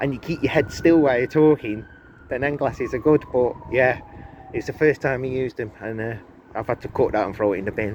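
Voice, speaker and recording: With noticeable background noise present, a man talks fairly quickly at a medium pitch, his pitch varying in an ordinary way. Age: 40s. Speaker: car enthusiast vlogger. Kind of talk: casual vlog walkaround. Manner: fast; casual, rambling with fillers.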